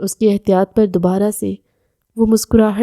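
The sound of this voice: Quiet surroundings, fairly even intonation, and an unforced reading voice.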